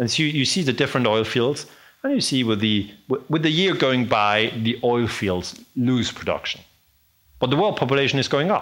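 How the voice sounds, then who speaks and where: Lively intonation marks this man's speech in a German accent. His loudness stays very even. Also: medium pitch for a man, moderate pace. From Switzerland. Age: 40s. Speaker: historian. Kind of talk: lecture. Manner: halting.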